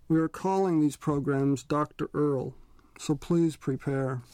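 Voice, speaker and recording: The speaker goes at a moderate pace. The background is quiet. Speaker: radio host and interviewer. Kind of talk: live radio hosting and interview. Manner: hesitant, halting, many fillers.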